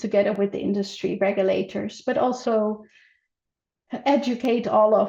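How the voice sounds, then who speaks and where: In a non-native accent, a woman talks with vocal fry, a dark, mellow tone and fairly even intonation. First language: not English. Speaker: healthcare standards manager. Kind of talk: conference presentation. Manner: halting, many fillers.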